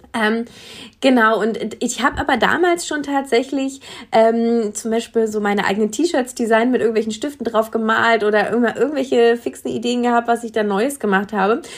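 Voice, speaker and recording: In a normal speaking voice, the delivery moves at a moderate pace with ordinary pitch variation. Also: woman, fairly high pitch for a woman. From Berlin area, Germany. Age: 30s. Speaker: illustrator and social media consultant. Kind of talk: casual interview. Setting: remote digital call.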